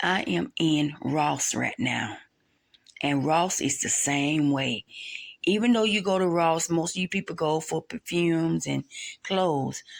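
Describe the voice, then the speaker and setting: The voice has a Southern US accent and lively intonation at a fairly slow pace. The recording is very clean with a silent background. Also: woman, fairly low pitch for a woman. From US South. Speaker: vlogger. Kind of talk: casual vlog voiceover. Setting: voiceover recorded at night. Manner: chatty, rambling.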